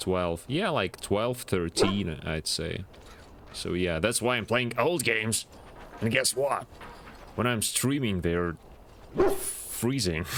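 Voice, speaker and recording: Very slow speech with lively intonation, long, frequent pauses and a non-native accent. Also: man. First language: not English. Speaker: video game streamer. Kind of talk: live gaming stream commentary. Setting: live stream.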